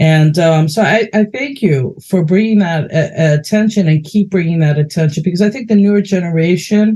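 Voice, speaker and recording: A New York accent at a moderate pace. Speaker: interviewer. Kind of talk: interview.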